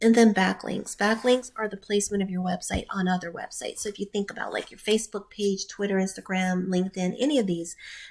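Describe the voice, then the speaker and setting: A woman talks very fast at medium pitch, with hardly any pauses and fairly even intonation. Her loudness swings widely, and there is noticeable background noise. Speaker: digital marketing consultant. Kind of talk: tutorial.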